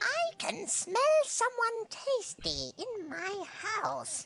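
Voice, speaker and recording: Someone puts on a squeaky character voice with extremely high pitch, speaking very slowly. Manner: creepy, menacing.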